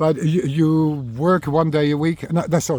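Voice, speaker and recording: A man with a Dutch accent at a moderate pace. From Netherlands, Rotterdam area. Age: 50s. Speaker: recovering alcoholic sharing his story. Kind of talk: personal testimony monologue. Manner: halting, many fillers and repetitions.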